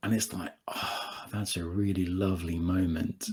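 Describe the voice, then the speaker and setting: A man speaks in a somewhat breathy voice. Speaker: book coach and developmental editor. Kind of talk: casual chat. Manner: halting.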